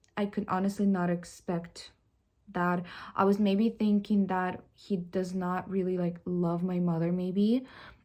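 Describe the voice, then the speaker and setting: A woman with a non-native accent speaks at a fairly slow pace in a dark, mellow tone. Her pitch is medium, and her intonation stays monotone and flat. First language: not English. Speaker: vlogger. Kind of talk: personal confession vlog. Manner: halting, with many fillers and restarts.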